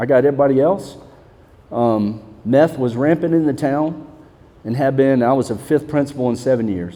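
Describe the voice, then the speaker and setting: At a moderate pace, a man talks in a Southern US accent. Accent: Southern US, noticeable. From Mississippi. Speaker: school principal. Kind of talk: panel discussion.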